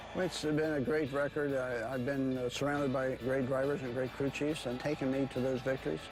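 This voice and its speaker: Music plays in the background as a man speaks at a fairly quick pace with hardly any pauses. His medium-pitched voice holds very even loudness and fairly even intonation. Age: 70s. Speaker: racing team owner. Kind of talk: interview.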